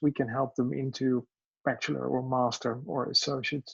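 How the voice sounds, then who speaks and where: A man with a Dutch accent speaks at a moderate pace, his intonation fairly even. The sound is dry and close, with no echo. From Netherlands. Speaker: education business owner. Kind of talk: self-introduction in online meeting. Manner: halting, many fillers.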